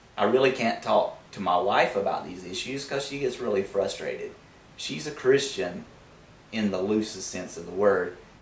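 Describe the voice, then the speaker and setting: A man with a Southern US accent at a moderate pace, ordinary pitch variation and big swings in loudness, with audible room echo and noticeable background noise. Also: medium pitch for a man. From US Deep South. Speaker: YouTube atheist commentator. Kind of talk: vlog monologue. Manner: casual, conversational.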